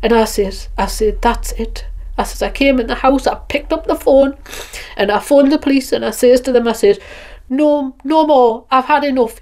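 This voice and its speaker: A woman with a high pitch speaks against noticeable background noise. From northern England, Northumberland. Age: 60s. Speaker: interviewee with visual impairment. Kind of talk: testimony. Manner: halting.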